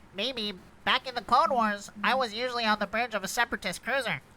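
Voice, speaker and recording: A put-on character voice rattles along at a very fast pace. Its pitch is fairly high. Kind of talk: table read of a script.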